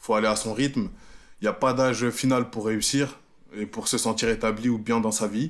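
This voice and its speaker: An ordinary speaking voice, at a moderate pace with fairly even intonation and big swings in loudness, comes through on a very clean recording with a silent background. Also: man, medium pitch for a man. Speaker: podcast co-host. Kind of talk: casual chat.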